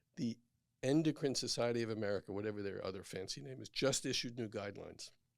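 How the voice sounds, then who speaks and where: Very fast, animated speech from a man of medium pitch with a New York accent. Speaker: physician. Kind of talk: casual chat.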